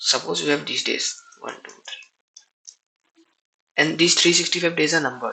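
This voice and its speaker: A man's fairly slow speech in a non-native accent, with big swings in loudness. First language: not English. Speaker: programming tutorial creator. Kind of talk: tutorial. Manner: halting.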